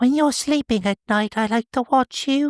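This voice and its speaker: In a put-on character voice, a female-sounding speaker talks at a moderate pace with a high pitch, on a very clean recording with a silent background. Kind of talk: British accent voice put on. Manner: creepy, whispery.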